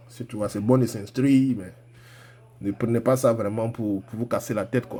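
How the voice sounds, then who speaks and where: Here a man speaks at medium pitch. He has an Ivorian accent. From Ivory Coast. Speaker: forex trading coach. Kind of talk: live trading tutorial. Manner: casual, animated.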